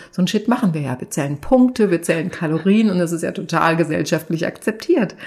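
In a fairly low, somewhat breathy voice, a woman talks at a fairly quick pace on a very clean recording with a silent background. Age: 50s. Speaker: content creator and TV expert. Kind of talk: casual chat. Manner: animated.

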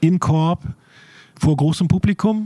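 Very slow speech with a dry, close sound and no echo. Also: man. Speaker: podcast editor. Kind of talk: casual chat. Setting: warehouse.

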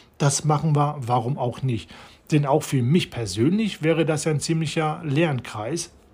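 On a very clean recording with a silent background, a man speaks somewhat breathily at a fairly slow pace with ordinary pitch variation. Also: fairly high pitch for a man. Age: 40s. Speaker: podcaster. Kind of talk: personal monologue. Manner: halting, many fillers.

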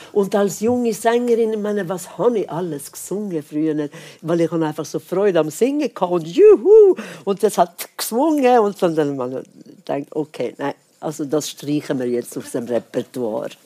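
Her voice fairly low, dark and mellow, a woman speaks at a moderate pace with very wide pitch swings. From Sweden. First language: Swedish (speaking German). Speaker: jazz singer and pianist. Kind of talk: casual chat. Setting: stage with audience.

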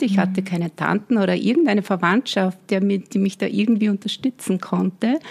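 At a moderate pace, a woman talks in a somewhat breathy, medium-pitched voice. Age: 50s. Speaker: brand consultant and business coach. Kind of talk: interview.

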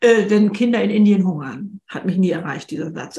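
Somewhat breathy and fairly high, a woman's voice moves through very wide pitch swings. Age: 70s. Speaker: author. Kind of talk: podcast interview conversation.

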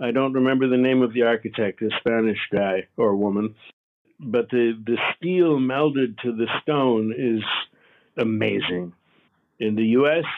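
A man has a normal speaking voice at medium pitch with ordinary pitch variation. He speaks at a fairly slow pace with very even loudness. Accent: American. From United States. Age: 60s. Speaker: artist's grandson, audiobook narrator. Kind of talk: interview.

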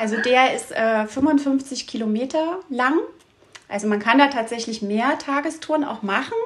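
Noticeable background noise surrounds a woman whose high pitch shows ordinary variation as she speaks at a fairly slow pace. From Saxony, Dresden region. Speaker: dog trainer and outdoor guide. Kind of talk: interview.

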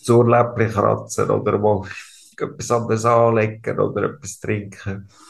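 Using a monotone, flat intonation with vocal fry, a man talks at a fairly slow pace and medium pitch. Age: 30s. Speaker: ALS patient. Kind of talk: interview. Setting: hospital room.

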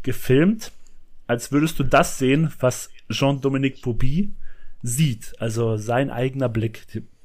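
This man's voice sits at a medium pitch with ordinary pitch variation. He speaks at a fairly slow pace. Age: 30s. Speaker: podcast co-host, film fan. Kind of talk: casual chat.

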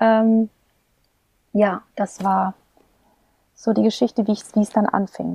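With long, frequent pauses, a woman speaks at a very slow pace in a calm, dark, mellow tone, her medium-pitched, somewhat breathy voice monotone and flat at very even loudness, the sound dry and close with no echo. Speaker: singer and voice teacher. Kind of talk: interview conversation. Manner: calm, pleasant manner.

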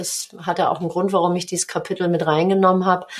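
A woman is speaking. Her voice has a medium pitch. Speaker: business coach and author, former handball player. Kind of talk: podcast interview.

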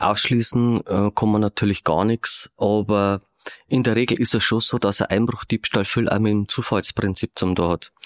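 An unremarkable speaking voice moves at a moderate pace with fairly even intonation and very even loudness, in a dry, close sound with no echo. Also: man, fairly low pitch for a man. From Regensburg, Bavaria. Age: 50s. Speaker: police detective. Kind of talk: interview.

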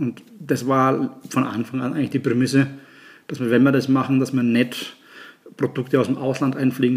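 A man speaks in a monotone with flat intonation. His pitch is medium and his pace fairly quick. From Germany, Nuremberg (Franconia). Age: 50s. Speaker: chef and restaurant owner. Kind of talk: casual chat.

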